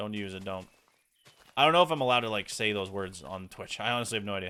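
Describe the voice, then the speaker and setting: This is a man speaking. His pitch is fairly low. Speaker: Minecraft streamer. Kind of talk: casual live stream chat while gaming. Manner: loud; casual, chatty.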